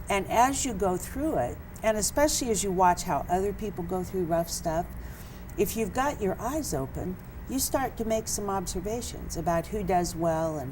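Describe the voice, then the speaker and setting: At a moderate pace, a woman talks with audible room echo. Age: 70s. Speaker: author. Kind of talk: interview.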